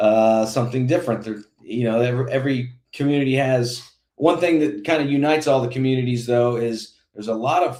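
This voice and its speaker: A man with an American accent talks at a fairly quick pace with hardly any pauses. It's a normal speaking voice, medium in pitch with ordinary pitch variation. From Indiana. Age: 40s. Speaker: political candidate. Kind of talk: interview. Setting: podcast.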